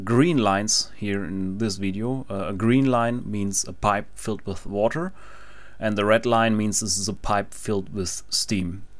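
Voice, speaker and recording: A fairly slow pace in a German accent. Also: man. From Germany. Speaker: engineering tutorial maker. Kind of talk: tutorial. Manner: halting, frequent fillers.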